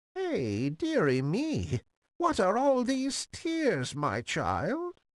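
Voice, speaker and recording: A croaky, put-on character voice with fairly high pitch speaks at a very slow pace over a quiet background. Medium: read story.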